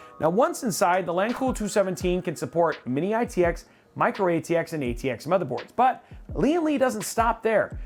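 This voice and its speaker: Music plays in the background as someone talks at a fairly quick pace. A slight New England accent comes through. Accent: faint New England. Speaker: tech reviewer. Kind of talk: scripted product review.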